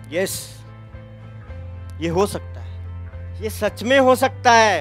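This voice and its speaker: A man speaks in a passionate tone, his loudness swinging widely. Music plays in the background. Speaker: motivational speaker. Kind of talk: motivational speech to college students. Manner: passionate, rousing.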